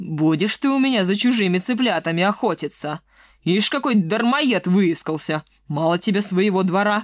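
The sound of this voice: An unforced reading voice, delivered with lively intonation.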